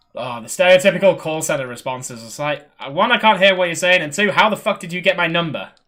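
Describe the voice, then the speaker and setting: Very fast and high-pitched, a man talks with lively intonation and big swings in loudness. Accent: British. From Britain. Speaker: gaming streamer. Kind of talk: casual chat.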